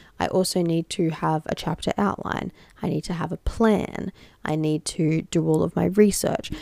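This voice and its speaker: The sound is dry and close, with no echo. A woman speaks in an Australian accent. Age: 20s. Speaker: podcast host, founder of a social change network. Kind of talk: solo advice podcast.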